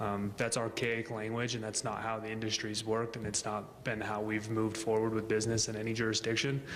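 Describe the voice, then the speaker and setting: A man speaks in a medium pitch with monotone, flat intonation and audible room echo. His pace is fairly quick, with hardly any pauses. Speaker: business representative presenting to city council. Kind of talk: public comment at council meeting. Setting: city council meeting chamber. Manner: fast.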